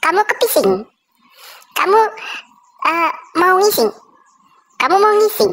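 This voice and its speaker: A cartoonish character voice at an extremely high pitch moves at a fairly slow pace with long, frequent pauses. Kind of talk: comic puppet monologue, vlogger parody. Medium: puppet. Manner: upbeat, playful.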